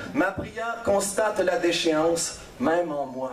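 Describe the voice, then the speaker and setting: Over noticeable background noise, a man with a high pitch speaks very slowly, his intonation lively. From Quebec. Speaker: slam poet and storyteller. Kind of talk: slam poetry performance. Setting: live stage.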